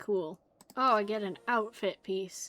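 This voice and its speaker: Music plays in the background as a woman speaks. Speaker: gaming streamer. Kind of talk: casual chat; let's play stream reading game dialogue aloud. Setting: live stream.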